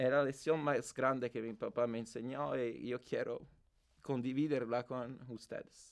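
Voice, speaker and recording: Against a quiet background, a man speaks at a very slow pace with fairly even intonation and long, frequent pauses. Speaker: interviewee in experimental documentary. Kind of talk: personal story, testimony. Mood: reflective, emotional about late father.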